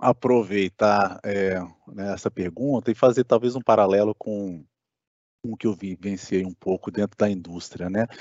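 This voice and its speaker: At a fairly slow pace, a normal speaking voice moves through big swings in loudness. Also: man. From Brasília, Brazil. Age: 30s. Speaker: electrical engineer. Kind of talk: casual chat.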